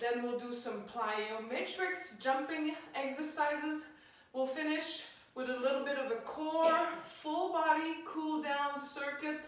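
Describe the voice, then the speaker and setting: Amid audible room echo, a woman with a high pitch talks at a fairly slow pace with ordinary pitch variation. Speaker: fitness coach. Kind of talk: workout instruction. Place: home room. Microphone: camera far.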